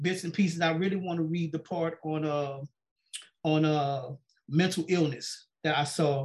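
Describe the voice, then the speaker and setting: Here a man speaks at a moderate pace with a high pitch. His intonation stays fairly even. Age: 50s. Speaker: podcast host. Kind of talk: casual chat. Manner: halting.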